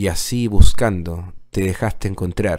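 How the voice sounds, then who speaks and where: This man has an ordinary speaking voice with a fairly low pitch. His intonation stays fairly even. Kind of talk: poem performed as solemn tribute. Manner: solemn, reverent, slow and measured; heartfelt, declamatory with pauses.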